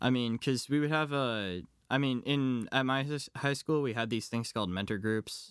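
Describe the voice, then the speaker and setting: In an American accent, a man talks at a moderate pace and medium pitch with ordinary pitch variation, on a very clean recording with a silent background. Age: young. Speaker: college student. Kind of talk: interview. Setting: at home. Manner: halting.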